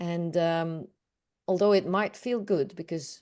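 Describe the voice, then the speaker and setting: A woman with a Dutch accent has a dark, mellow tone and a fairly low pitch. She speaks at a very slow pace. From Netherlands. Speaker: awareness coach. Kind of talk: group session discussion.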